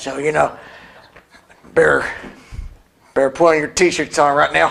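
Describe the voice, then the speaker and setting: A raspy, put-on character voice from a man. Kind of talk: folksy, casual.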